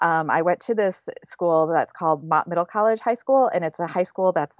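A Midwestern US accent at a moderate pace. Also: woman. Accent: US Midwest. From Michigan, near Flint. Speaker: fiber artist. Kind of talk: interview.

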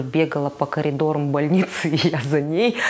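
A woman speaks in a very deep, low pitch with flat, monotone intonation. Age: 30s. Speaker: mother of a child with Down syndrome. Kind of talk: personal testimony interview. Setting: podcast recording. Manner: halting.

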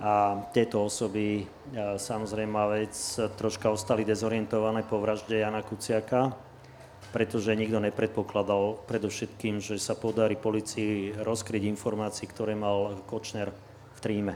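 Monotone, flat intonation runs through speech delivered at a moderate pace. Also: man. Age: 60s. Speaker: lawyer. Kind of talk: panel discussion.

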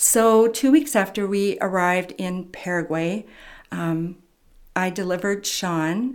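A woman with an American accent speaks in a normal speaking voice. Her pitch is medium, with ordinary pitch variation. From California, US. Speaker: retired missionary and member care worker. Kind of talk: interview testimony.

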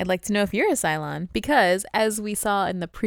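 Animated and with lively intonation, a woman talks at a very fast pace in an American accent, recorded very clean with a silent background and a dry, close sound with no echo. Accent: slight Southern-sounding at times, per others. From US Midwest, St. Louis. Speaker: podcast host. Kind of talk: casual chat recapping a TV episode. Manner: animated, frequent laughter.

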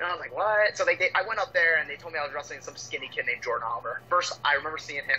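Very fast male speech over noticeable background noise. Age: 20s. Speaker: pro wrestler. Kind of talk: casual interview chat.

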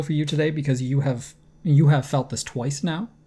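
A man with an American accent speaks in a dark, mellow tone. His voice is somewhat breathy. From United States. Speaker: tennis podcast co-host. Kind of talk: casual chat.

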